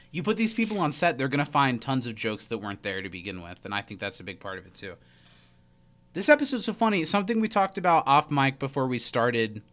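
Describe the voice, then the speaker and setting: A man speaks at a very fast pace with a fairly high pitch. His pitch swings very widely and his loudness rises and falls sharply. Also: very clean recording, silent background. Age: 20s. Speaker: podcast co-host. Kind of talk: casual chat.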